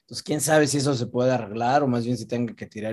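Fairly even intonation marks this man's very fast delivery. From central Mexico, Toluca and Metepec. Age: 40s. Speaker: film actor. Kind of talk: casual interview chat. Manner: halting, with frequent repetitions and fillers.

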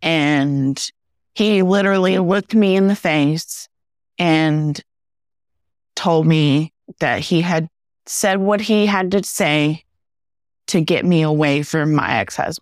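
A woman speaks at a very slow pace with fairly low pitch, ordinary pitch variation, very even loudness and long, frequent pauses, on a very clean recording with a silent background. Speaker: podcast host. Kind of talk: casual chat.

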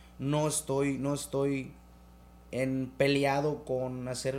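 Audible room echo surrounds a man's medium-pitched voice. He speaks in a flat monotone. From Mexico, Quintana Roo (Chetumal). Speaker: rapper. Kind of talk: casual chat.

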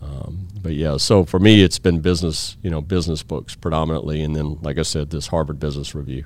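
A man with a Louisiana accent speaks fairly quickly with hardly any pauses, his very deep, low voice showing vocal fry and fairly even intonation. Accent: Louisiana Southern American. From US South, Baton Rouge, Louisiana. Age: 50s. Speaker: IT company CEO. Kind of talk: interview conversation.

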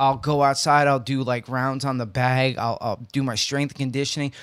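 On a very clean recording with a silent background, a man with a plain, everyday voice speaks at a moderate pace with fairly high pitch. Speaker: podcast co-host. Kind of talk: casual banter comedy chat. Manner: joking, profane, teasing.

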